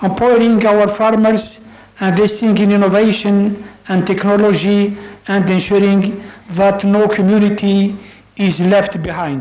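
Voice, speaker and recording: The speaker talks at a fairly slow pace with an Arabic accent. Noticeable background noise is present. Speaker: official of an intergovernmental organization. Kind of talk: formal conference speech. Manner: formal; hesitant.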